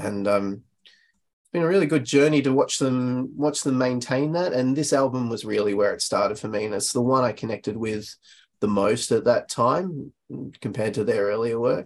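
With ordinary pitch variation, a man of medium pitch keeps to a moderate pace. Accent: Australian. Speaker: guest album suggester. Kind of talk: casual chat. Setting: remote call.

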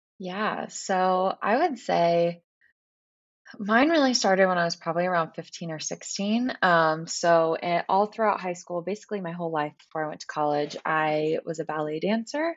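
With ordinary pitch variation, a normal speaking voice moves along at a moderate pace. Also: woman, fairly low pitch for a woman. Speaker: wellness business co-owner and yoga coach. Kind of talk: casual interview chat.

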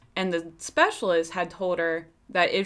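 The speaker has an American accent and a moderate pace, on a very clean recording with a silent background. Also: woman. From Pennsylvania. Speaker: true crime podcast host. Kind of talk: casual storytelling.

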